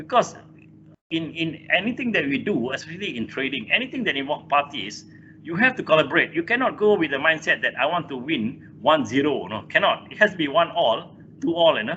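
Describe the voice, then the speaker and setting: With a Malaysian accent, a man talks at a fairly quick pace, his pitch swinging very widely. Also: fairly high pitch for a man. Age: 60s. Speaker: engineer and corporate chairman. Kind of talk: interview. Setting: video call. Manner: halting.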